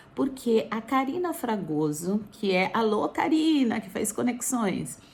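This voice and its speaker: Amid noticeable background noise, a woman with a fairly high pitch speaks at a very slow pace, her pitch swinging very widely. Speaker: vlogger. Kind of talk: casual vlog. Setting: indoors, wrapped in blanket.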